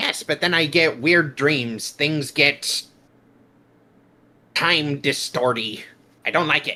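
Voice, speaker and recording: In a put-on character voice with a fairly high pitch, a man talks with long, frequent pauses. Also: fairly slow pace, ordinary pitch variation. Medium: virtual streamer. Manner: grumbling, cranky.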